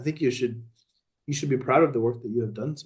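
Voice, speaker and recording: A man with a Canadian accent, a dark, mellow tone and a somewhat breathy quality. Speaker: professor of science education. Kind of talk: online seminar Q&A. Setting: video call. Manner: fast.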